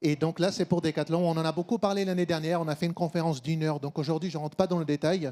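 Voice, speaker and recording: A dark, mellow tone and a slight Brazilian accent carry fairly even intonation at a very fast pace with hardly any pauses. The recording is very clean, with a silent background. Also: man, high pitch for a man. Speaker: supply chain consultant. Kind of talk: conference talk.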